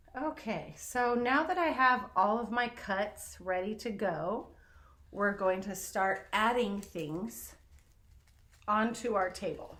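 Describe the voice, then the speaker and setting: With audible room echo, a woman with a fairly high pitch and a bright, sharp tone speaks very slowly, her intonation lively. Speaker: art teacher. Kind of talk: tutorial.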